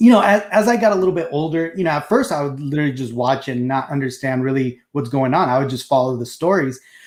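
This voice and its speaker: A man's fairly high voice with a Spanish accent, very fast, with lively intonation and hardly any pauses. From Mexico, moved to US as a child. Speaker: collectibles show co-host. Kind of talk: casual chat. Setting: live stream.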